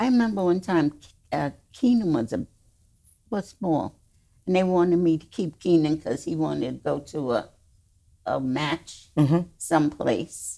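A woman with a New York accent speaks at a moderate pace with a fairly low pitch, a dark, mellow tone, lively intonation and long, frequent pauses. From US Northeast, the Bronx, New York. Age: 90s. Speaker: host's mother. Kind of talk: casual chat.

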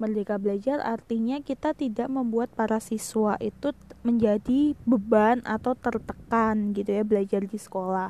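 At a moderate pace, a woman speaks with a dark, mellow tone and fairly even intonation. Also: hardly any pauses. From Indonesia, Semarang (Central Java). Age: 20s. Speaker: teacher. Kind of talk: casual podcast monologue.

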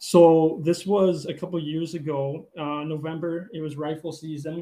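A man with a western Canadian accent speaks in a fairly high pitch for a man, his intonation monotone and flat. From Calgary, Alberta, Canada. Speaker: angler and hunter. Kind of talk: casual interview chat. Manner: hesitant, many fillers.

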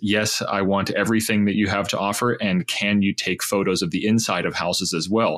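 A man with an American accent talks in a plain, everyday voice. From Pittsburgh, Pennsylvania. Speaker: tech startup founder. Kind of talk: casual interview.

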